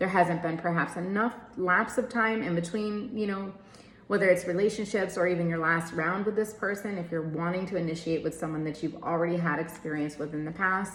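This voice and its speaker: A woman talks at a fairly quick pace, her fairly low pitch showing ordinary variation. There is audible room echo and noticeable background noise. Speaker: tarot card reader. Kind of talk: tarot reading. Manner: speeds up when channeling; casual, filler-heavy.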